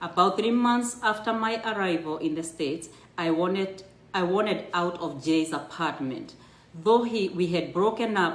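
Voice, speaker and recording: Audible room echo surrounds a woman speaking. Her fairly low voice has ordinary pitch variation. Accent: strong Kenyan. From Kenya. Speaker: storyteller sharing her immigrant life story. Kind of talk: personal storytelling, reading a memoir aloud on a livestream. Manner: halting with self-corrections.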